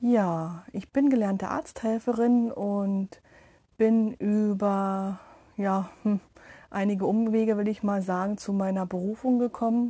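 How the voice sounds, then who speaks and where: A woman speaks at a very slow pace in a dark, mellow, somewhat breathy tone. Her intonation is fairly even, and the background is quiet. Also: medium pitch for a woman. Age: 30s. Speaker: meditation podcaster, energy worker. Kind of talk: casual self-introduction monologue.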